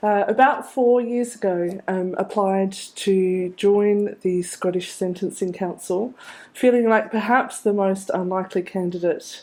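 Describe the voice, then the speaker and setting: A woman speaks in an Australian accent at a moderate pace. Her medium-pitched voice keeps a fairly even intonation. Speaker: criminologist. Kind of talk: conference presentation.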